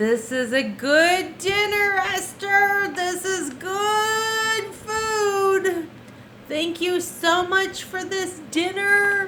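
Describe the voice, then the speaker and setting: In a put-on character voice at an extremely high pitch, a woman speaks at a very slow pace over clear background noise. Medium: read story.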